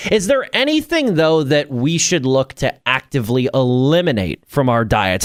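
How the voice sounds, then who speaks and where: Here is an ordinary speaking voice from a man at a medium pitch and a moderate pace. The sound is dry and close, with no echo. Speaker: radio host. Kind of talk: radio interview questions.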